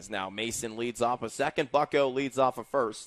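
A man speaks at medium pitch and a moderate pace. The recording is very clean, with a silent background. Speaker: baseball play-by-play announcer. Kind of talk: live sports commentary, play-by-play broadcast. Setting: ballpark broadcast booth. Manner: chatty and upbeat, joking about fireworks and dingers.

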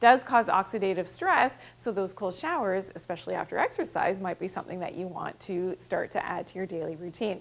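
Speaking at a fairly quick pace with hardly any pauses, a woman uses ordinary pitch variation. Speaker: presenter. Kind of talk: health explainer to camera. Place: studio. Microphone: lapel.

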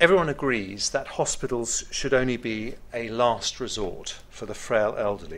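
The speaker is a man. He keeps a moderate pace. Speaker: government minister giving keynote. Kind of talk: formal speech. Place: hall. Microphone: podium.

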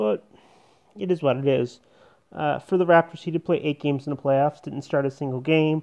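Against a quiet background, a man with a fairly high voice talks at a fairly quick pace with ordinary pitch variation. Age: 30s. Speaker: sports YouTuber. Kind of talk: casual monologue. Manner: halting. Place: home room. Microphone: earbuds.

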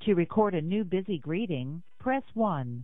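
A woman speaks at a fairly slow pace and a fairly low pitch. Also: lively intonation.

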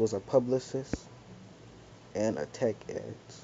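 A man with a medium-pitched voice talks fairly slowly, and noticeable noise sits behind him. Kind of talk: casual gameplay commentary. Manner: droning.

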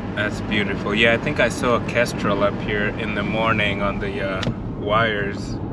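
A man with a fairly low pitch and an American accent, flat and monotone at a moderate pace, in a dry sound without echo over loud background noise. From US West Coast (Los Angeles). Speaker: wildlife photography vlogger. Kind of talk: casual chat; vlog narration. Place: car.

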